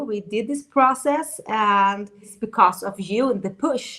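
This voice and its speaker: At a fairly slow pace, the speaker has a bright, sharp tone and ordinary pitch variation. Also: woman. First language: Swedish. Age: 50s. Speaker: dating coach. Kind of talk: interview.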